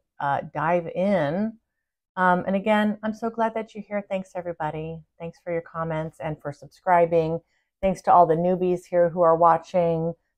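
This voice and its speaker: In a normal speaking voice, a woman with fairly low pitch talks at a moderate pace with fairly even intonation against a quiet background. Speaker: spiritual channel host. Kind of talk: casual vlog chat. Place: home room. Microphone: phone near.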